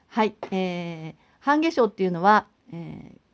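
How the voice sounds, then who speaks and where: A woman speaks at a fairly slow pace with very wide pitch swings, in a dry, close sound with no echo. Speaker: high school teacher and pianist YouTuber. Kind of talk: casual vlog talk to camera. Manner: chatty with many fillers.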